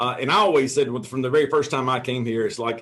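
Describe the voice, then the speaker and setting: A man with a Tennessee accent, at a fairly quick pace. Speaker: realtor. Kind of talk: interview. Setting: video call. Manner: halting.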